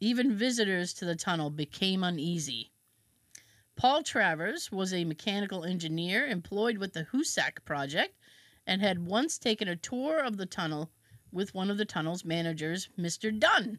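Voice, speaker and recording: A woman's ordinary speaking voice at medium pitch and moderate pace, with lively intonation, on a very clean recording with a silent background. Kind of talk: true-crime horror narration, reading a historical account aloud. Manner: casual and laughing between read passages.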